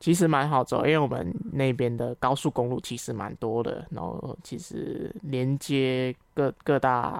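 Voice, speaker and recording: A woman with a very deep, low pitch and vocal fry talks at a fairly slow pace with hardly any pauses and ordinary pitch variation. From Malaysia. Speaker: Malay language teacher. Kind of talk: casual chat.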